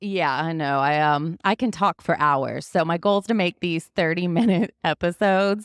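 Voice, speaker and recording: The sound is dry and close with no echo. A woman speaks at a fairly low pitch and a moderate pace with ordinary pitch variation. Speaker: podcast host sharing personal recovery story. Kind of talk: interview, personal testimony. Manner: talkative.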